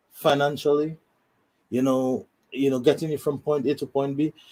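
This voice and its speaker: This man's voice has a dark, mellow tone. His intonation is monotone and flat. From Saint Lucia. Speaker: law student. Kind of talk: interview. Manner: repetitive, halting.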